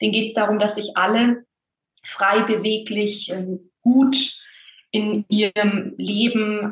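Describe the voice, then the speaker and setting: Somewhat breathy, a woman speaks at a very slow pace. Her pitch is fairly high and her intonation fairly even. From Bavaria, Germany (small village). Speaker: voice and authenticity coach, actress. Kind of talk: casual interview.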